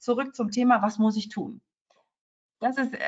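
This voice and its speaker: A somewhat breathy woman speaks at a fairly high pitch. Her pace is moderate. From Cologne, Rhineland, Germany. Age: 40s. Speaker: lawyer. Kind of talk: interview.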